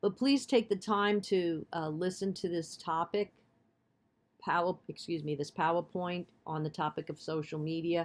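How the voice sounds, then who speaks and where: A woman speaks with a Bronx accent and ordinary pitch variation against a quiet background. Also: fairly low pitch for a woman, moderate pace. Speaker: college instructor. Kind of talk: lecture. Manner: hesitant, many fillers.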